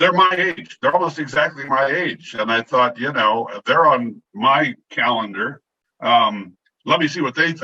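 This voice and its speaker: A man with an ordinary speaking voice talks at a moderate pace, his pitch fairly high and his intonation lively. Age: 60s. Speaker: newspaper columnist. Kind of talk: interview.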